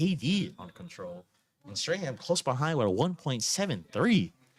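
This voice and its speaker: Vocal fry runs through a man's speech, pitched fairly high with very wide swings and delivered at a moderate pace. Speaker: esports commentator. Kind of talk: live commentary.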